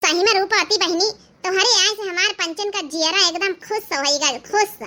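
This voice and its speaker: A woman uses a squeaky, cartoonish character voice with an extremely high pitch. She speaks at a moderate pace. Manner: chirpy, excited.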